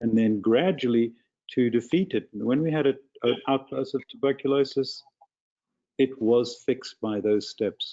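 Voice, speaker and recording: You hear a man speaking with a South African accent. His medium pitch shows ordinary pitch variation. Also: moderate pace. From South Africa, rural farm. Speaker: physician addressing town council. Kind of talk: public comment at council meeting.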